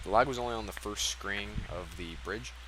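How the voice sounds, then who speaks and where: Very wide pitch swings in a man's speech, plus noticeable background noise. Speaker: speedrunner. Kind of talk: post-run commentary. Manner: fast; casual, hesitant with fillers.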